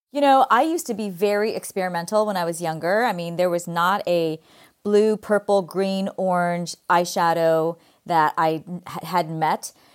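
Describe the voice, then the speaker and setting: On a very clean recording with a silent background, a woman with a fairly low pitch and a Californian accent talks at a moderate pace with ordinary pitch variation. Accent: Californian Valley Girl. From California, US. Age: 50s.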